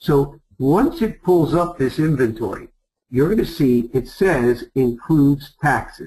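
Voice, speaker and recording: A man with a New York accent speaks at a fairly slow pace, with a fairly high pitch, lively intonation and a dark, mellow tone. His voice is somewhat breathy and his loudness very even. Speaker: travel sales presenter. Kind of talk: sales pitch.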